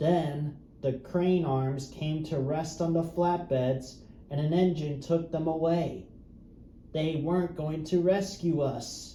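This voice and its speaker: A man does a put-on character voice, hoarse and wheezy with a sinister tone and cackling, pitched fairly high. He speaks fairly slowly, with a slight echo. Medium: read story. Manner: cackling, sinister.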